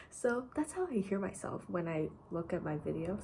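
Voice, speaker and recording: A woman talks at a moderate pace in a medium pitch with very wide pitch swings. Noticeable background noise runs under her voice. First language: not English. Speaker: student. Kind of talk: casual vlog.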